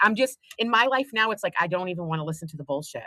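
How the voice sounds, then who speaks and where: Speaking very fast in a Boston accent, a woman sounds animated, with medium pitch, a bright, sharp tone and a dry, close sound with no echo. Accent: Boston-area. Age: 50s. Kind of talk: casual chat.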